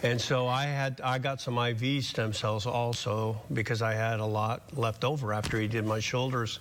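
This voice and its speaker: A man speaks at a medium pitch in a flat monotone. His pace is fairly slow. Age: 60s. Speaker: patient. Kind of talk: testimony.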